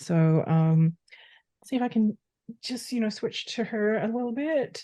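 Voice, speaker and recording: Dark, mellow tone from a woman with an Australian accent, ordinary pitch variation and a quiet background. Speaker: podcast guest. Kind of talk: casual chat.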